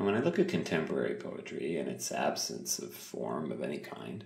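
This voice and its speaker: A man speaks in a calm tone. His pace is fairly slow. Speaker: poet. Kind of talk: ASMR talking, poetry writing. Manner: calm, reflective.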